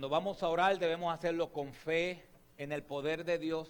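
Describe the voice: A man speaks with a clear, smooth tone and fairly even intonation. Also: fairly high pitch for a man, moderate pace.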